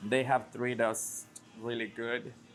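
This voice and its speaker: A man's medium-pitched voice with a Spanish accent at a moderate pace, with music in the background. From Mexico. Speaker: restaurant owner. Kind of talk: interview.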